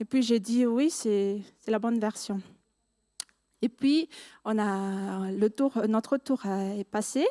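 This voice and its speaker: A woman with a non-native accent speaks at a fairly high pitch on a very clean recording with a silent background. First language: not French (speaking French). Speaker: student giving church testimony. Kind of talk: testimony. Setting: church service. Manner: halting.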